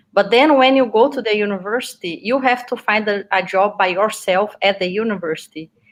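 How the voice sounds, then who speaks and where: A woman with a Portuguese accent talks at a fairly quick pace with hardly any pauses. Her voice sits at medium pitch with ordinary pitch variation. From Brazil, Minas Gerais. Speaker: PhD student, veterinary researcher. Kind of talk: interview.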